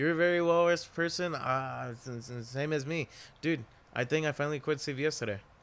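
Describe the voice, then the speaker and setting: Recorded very cleanly with a silent background, a man speaks at a fairly quick pace in an unremarkable speaking voice, with a fairly high pitch and ordinary pitch variation. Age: 20s. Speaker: podcast co-host and bank teller. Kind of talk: casual chat.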